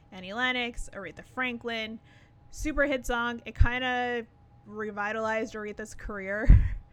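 A woman with an unremarkable speaking voice talks at a fairly high pitch and moderate pace, with fairly even intonation and big swings in loudness. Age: 30s. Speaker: music podcast co-host. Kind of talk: casual chat.

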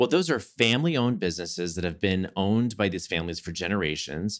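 Lively intonation marks this man's unremarkable speaking voice, fairly low in pitch and heard in a very clean recording with a silent background. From Southeast Texas. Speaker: Broadway actor and life coach. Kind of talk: casual interview chat.

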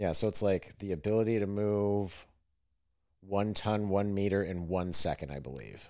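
A man with an ordinary speaking voice, fairly low in pitch and fairly even in intonation, at a moderate pace on a very clean recording with a silent background. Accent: American. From western New York, Lake Erie. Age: 30s. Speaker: podcast host, Marine veteran. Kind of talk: casual chat.

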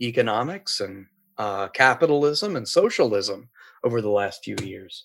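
A man has an ordinary speaking voice with an American accent and medium pitch. He talks at a fairly slow pace. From Appalachia, US. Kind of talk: casual chat.

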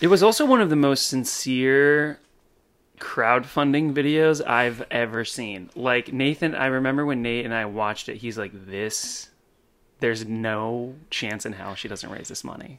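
A man with an ordinary speaking voice talks at a fairly slow pace and medium pitch, with ordinary pitch variation, on a very clean recording with a silent background. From California. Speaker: podcast host and bartender. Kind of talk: casual interview chat.

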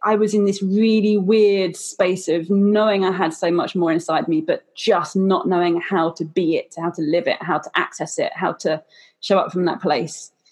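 At a moderate pace, a woman with a medium pitch and ordinary pitch variation speaks in an unremarkable speaking voice. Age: 30s. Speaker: podcast host. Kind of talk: casual chat.

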